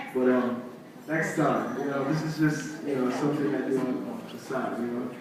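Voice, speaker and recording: Fairly even intonation from a fairly high-pitched male speaker, moderately paced, amid noticeable background noise. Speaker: musician and spoken word poet. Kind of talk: casual stage talk to audience.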